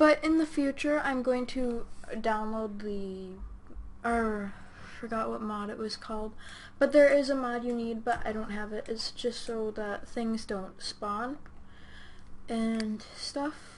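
A woman is speaking very slowly. Behind her, background noise is noticeable. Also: fairly high pitch for a woman, ordinary pitch variation. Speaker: gaming YouTuber. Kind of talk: casual gaming commentary. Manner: casual, chatty, filler-heavy.

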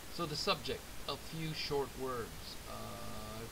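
His pitch varies in an ordinary way while noticeable noise sits in the background. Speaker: English teacher. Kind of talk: lecture. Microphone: webcam.

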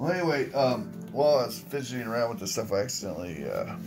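Clear music plays behind a man. He talks at a fairly quick pace. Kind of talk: casual vlog chat. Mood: wry, amused. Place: home room. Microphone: phone near.

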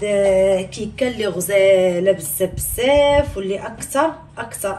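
A woman's voice with lively intonation over light background noise. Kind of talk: cooking tutorial chat. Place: kitchen. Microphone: phone near.

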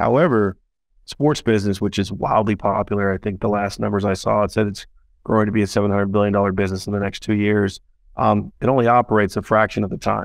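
This man talks at a very fast pace, fairly low in pitch, with fairly even intonation. The sound is dry with no echo, over a quiet background. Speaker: startup founder and CEO. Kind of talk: interview. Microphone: video call.

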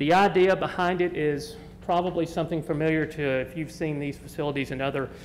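Over light background noise, a man talks at a fairly quick pace in a normal speaking voice with ordinary pitch variation. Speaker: applicant's representative. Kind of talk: formal presentation. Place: hall. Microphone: podium.

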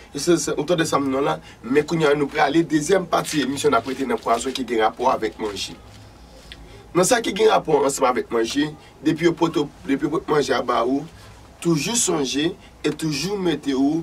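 Faint music plays behind a man who talks at a moderate pace with a fairly high-pitched voice. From Haiti. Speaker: vodou practitioner and channel host; channel host. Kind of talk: spiritual teaching monologue. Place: studio.

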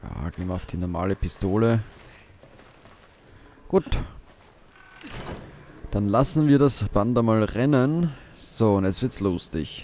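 A man's fairly low voice at a very slow pace, lively in intonation, with long, frequent pauses and noticeable background noise. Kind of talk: let's play gaming commentary. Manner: casual, animated.

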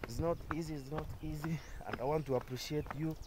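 A man talks at a moderate pace. The sound is dry with no echo, and there is light background noise. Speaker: builder vlogger. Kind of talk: casual vlog chat. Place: open country. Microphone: phone near.

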